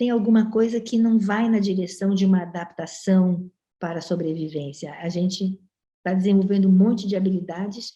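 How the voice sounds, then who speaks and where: A woman speaks with a dark, mellow tone that is somewhat breathy. Her intonation is fairly even and her pace moderate. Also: medium pitch for a woman. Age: 70s. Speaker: professor. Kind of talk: panel discussion.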